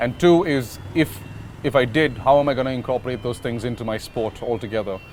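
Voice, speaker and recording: Noticeable background noise sits under this recording. A man talks at a fairly quick pace and medium pitch with ordinary pitch variation. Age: 30s. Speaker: basketball player. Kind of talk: interview talk.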